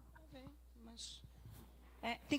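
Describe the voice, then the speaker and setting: A woman with a Pará accent, at a fairly slow pace. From Pará, northern Brazil. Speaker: psychologist. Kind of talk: lecture.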